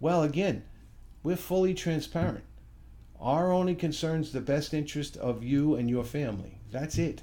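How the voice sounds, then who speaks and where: In a room with audible echo, a man with a fairly high pitch and a dark, mellow tone speaks at a moderate pace with ordinary pitch variation. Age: 60s. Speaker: financial services company founder. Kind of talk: promotional talk to camera.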